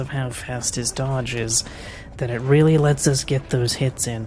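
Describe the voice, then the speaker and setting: A woman speaks with a very deep, low voice and fairly even intonation at a moderate pace. Noticeable background noise runs underneath. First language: French. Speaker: speedrunner. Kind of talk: live gameplay commentary. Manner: casual.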